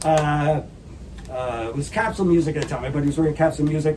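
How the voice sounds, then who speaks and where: Someone with a Canadian accent talks at a very fast pace with ordinary pitch variation over noticeable background noise. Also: man. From Canada. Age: 60s. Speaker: rock musician. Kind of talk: casual interview chat. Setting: sap house.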